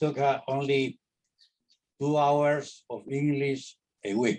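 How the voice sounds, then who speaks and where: With a Spanish accent, a man speaks at a very slow pace and fairly high pitch, leaving long, frequent pauses. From Honduras. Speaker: interviewee. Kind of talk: interview. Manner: halting, many repeated words.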